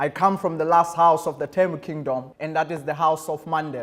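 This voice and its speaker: A man speaks with a South African accent. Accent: South African Xhosa. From South Africa, Eastern Cape. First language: Xhosa. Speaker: guest speaker. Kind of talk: speech to students. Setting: school auditorium. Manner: formal.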